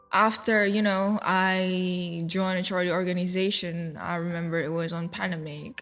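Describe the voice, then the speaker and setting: With music playing in the background, a woman speaks with fairly even intonation. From Bali, Indonesia. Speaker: charity founder. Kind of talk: personal storytelling. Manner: casual, many fillers.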